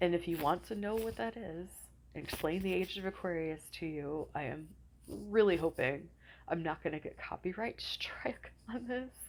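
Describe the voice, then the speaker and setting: A woman speaks at a moderate pace with lively intonation and some vocal fry. Her pitch is fairly low. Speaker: astrology and spiritual vlogger. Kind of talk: casual talk to camera.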